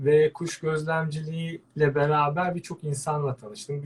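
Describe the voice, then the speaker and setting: Somewhat breathy, a man speaks fairly slowly at a fairly high pitch. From Turkey, Antalya. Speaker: veterinarian and birdwatcher. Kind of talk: interview. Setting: live online broadcast.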